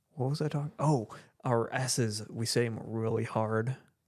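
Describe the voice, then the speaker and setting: A man with a northern US accent speaks at a fairly slow pace. His medium-pitched voice comes through a very clean recording with a silent background. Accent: northern US accent, taken for Canadian. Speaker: podcast co-host. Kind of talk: casual chat.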